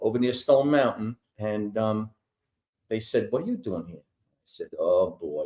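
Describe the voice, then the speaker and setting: A man with a New York accent and big swings in loudness. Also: fairly slow pace. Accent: New York accent, noticeable. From New York, Brooklyn. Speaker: entertainer singer for senior communities. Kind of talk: casual interview.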